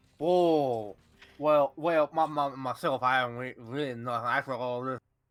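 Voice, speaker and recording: Mumbling in a put-on character voice, a man speaks at a medium pitch and a moderate pace. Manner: mumbling, hard to understand.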